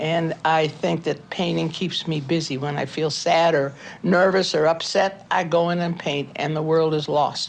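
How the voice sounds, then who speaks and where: With an American accent, a woman speaks at a moderate pace in a very deep, low, monotone, flat voice with hardly any pauses, over noticeable background noise. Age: 80s+. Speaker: painter. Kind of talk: documentary interview.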